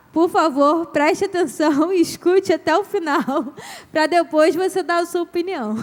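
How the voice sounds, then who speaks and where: A woman talks at a moderate pace. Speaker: couples ministry speaker. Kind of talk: talk to couples.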